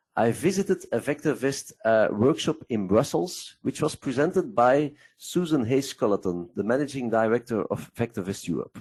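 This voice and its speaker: A man with a non-native accent, very wide pitch swings and a moderate pace, against a quiet background. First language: Dutch. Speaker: investment software presenter. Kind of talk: webinar presentation. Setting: online webcast.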